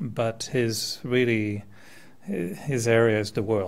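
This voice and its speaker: A man with a slight French accent speaks fairly slowly at a medium pitch, his intonation fairly even. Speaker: meditation teacher. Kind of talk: talk to audience. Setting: meditation center with audience.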